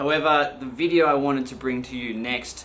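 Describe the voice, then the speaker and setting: Against light background noise, a man speaks with fairly even intonation. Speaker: artist vlogger. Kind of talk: casual vlog chat. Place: home room. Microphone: phone near.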